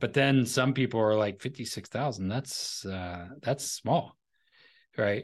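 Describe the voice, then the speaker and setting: At a fairly slow pace, a man talks in a plain, everyday voice of medium pitch. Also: ordinary pitch variation, quiet background. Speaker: financial advisor and podcaster; entrepreneur. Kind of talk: casual interview chat.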